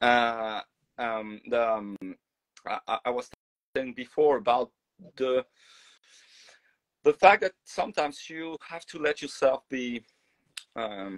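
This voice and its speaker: A man's medium-pitched voice with a French accent, very slow, broken by long, frequent pauses, lively in intonation, with big swings in loudness and a dry, close sound with no echo. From France. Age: 40s. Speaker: singer and voice teacher. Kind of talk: casual chat. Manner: halting, many fillers and repeats.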